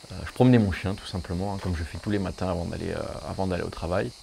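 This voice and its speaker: Over noticeable background noise, a man talks very fast in a very deep, low pitch. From southern France, Hérault. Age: 20s. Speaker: amateur fossil excavator. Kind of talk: documentary interview. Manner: hesitant, many fillers.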